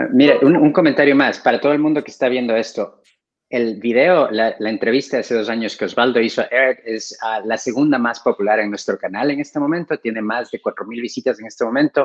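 The setting behind him is quiet. His pitch, a man's, rises and falls in an ordinary way. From Ecuador. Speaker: co-interviewer, company director; co-interviewer. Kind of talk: interview. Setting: video call. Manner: halting. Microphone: video call.

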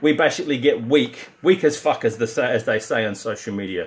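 Pitch swinging very widely, a man speaks with an Australian accent. His voice is fairly high and his pace moderate. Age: 50s. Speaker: strength and conditioning coach; conditioning coach. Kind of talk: direct-to-camera pitch. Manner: animated. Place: gym. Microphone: phone near.

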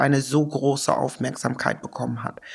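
A woman speaks with an English accent and fairly even intonation. The recording is very clean, with a silent background. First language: English (speaking German). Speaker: sociologist and activist, author. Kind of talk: interview. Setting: studio-like room in an office.

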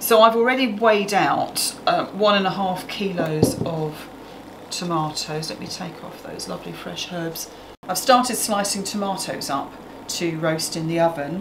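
Over noticeable background noise, a woman talks at a moderate pace with ordinary pitch variation and big swings in loudness. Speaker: cooking show host. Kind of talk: tutorial. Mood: warm, relaxed. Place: kitchen.

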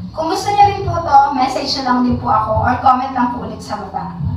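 Speaking at a fairly quick pace, a woman is heard. Her voice carries audible room echo over noticeable background noise. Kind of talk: casual house tour vlog.

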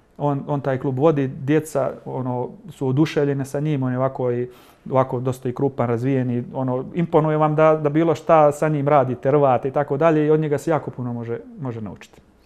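This man speaks at a fairly quick pace with fairly even intonation. His pitch sits fairly high. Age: 40s. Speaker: MMA fighter and club coach; club coach. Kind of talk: TV interview. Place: studio. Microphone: lapel.

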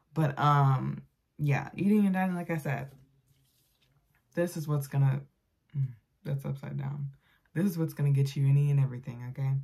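The background is quiet. A woman with a very deep, low pitch talks with ordinary pitch variation. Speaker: vlogger. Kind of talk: casual vlog chat. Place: home room. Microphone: phone near.

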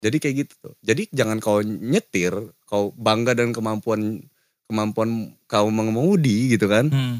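Over a quiet background with a dry sound and no echo, a man speaks at a moderate pace with big swings in loudness. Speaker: podcast host. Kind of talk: casual chat. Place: studio. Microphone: studio mic.

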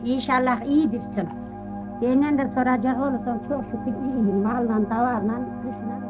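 Music plays behind a speaker with a Central Anatolian accent who talks at a fairly slow pace with fairly even intonation. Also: woman. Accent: Central Anatolian Turkish dialect. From Central Anatolia, Turkey. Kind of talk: personal audio letter to husband. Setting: home cassette recording with background music.

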